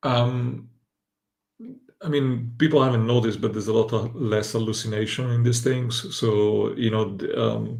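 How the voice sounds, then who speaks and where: With a somewhat breathy sound, a man talks at a moderate speed and keeps his intonation fairly even. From Italy. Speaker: AI and future-of-work commentator. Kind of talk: casual panel discussion. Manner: halting with frequent fillers.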